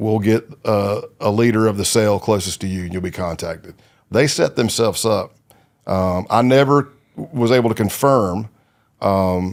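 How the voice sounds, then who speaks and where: Recorded very cleanly against a silent background, a man with an American accent talks at a fairly slow pace with ordinary pitch variation. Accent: southern US redneck. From South Carolina. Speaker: retired undercover FBI agent. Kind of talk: interview storytelling. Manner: conversational, with frequent fillers.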